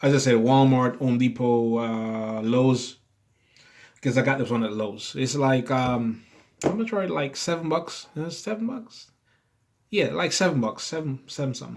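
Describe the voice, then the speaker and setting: This man has an unremarkable speaking voice and talks at a moderate pace. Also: medium pitch for a man, ordinary pitch variation. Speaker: RC hobby youtuber. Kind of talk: tutorial.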